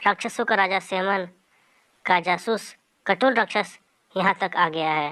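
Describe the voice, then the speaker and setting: A put-on character voice, female-sounding and at a medium pitch, at a moderate pace with long, frequent pauses, on a very clean recording with a silent background. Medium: audio drama.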